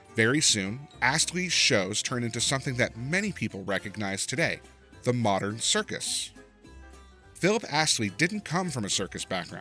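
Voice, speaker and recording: Over music in the background, a man talks with very wide pitch swings. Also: medium pitch for a man, moderate pace. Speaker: narrator. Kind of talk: children's history story narration.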